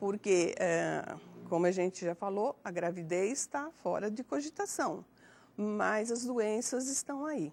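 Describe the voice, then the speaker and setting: Very slow delivery on a very clean recording with a silent background. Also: woman. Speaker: elderly HIV prevention agent. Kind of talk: TV health program talk, demonstration. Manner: hesitant, many fillers.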